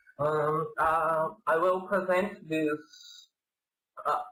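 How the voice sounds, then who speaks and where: This man's pitch sits fairly high. He has a Portuguese accent. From Brazil. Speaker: doctoral student presenter. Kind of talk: academic presentation. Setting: online video conference. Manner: halting.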